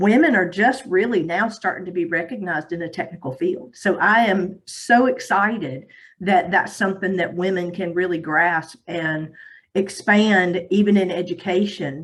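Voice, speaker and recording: With an American accent, a woman speaks at a moderate pace, her medium pitch showing ordinary pitch variation. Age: 60s. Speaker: audience member, former IT recruiter. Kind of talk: audience comment.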